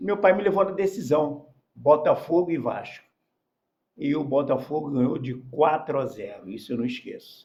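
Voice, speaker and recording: A man's fairly high, somewhat breathy voice with lively intonation at a moderate pace. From Rio de Janeiro, Brazil. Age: 70s. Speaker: former professional footballer. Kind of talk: podcast interview.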